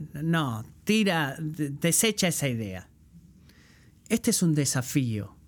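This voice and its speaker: On a very clean recording with a silent background, a man talks at a very slow pace and fairly high pitch, with very wide pitch swings and long, frequent pauses. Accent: Puerto Rican. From Puerto Rico. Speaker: guest preacher. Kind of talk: sermon.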